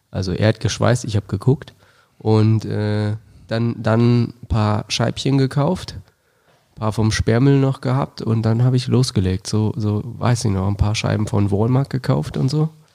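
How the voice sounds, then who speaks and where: Over a silent background in a very clean recording, a man speaks at a fairly slow pace with medium pitch, ordinary pitch variation and a dark, mellow tone. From Germany, Wolfsburg. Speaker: fitness center founder. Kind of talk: casual chat.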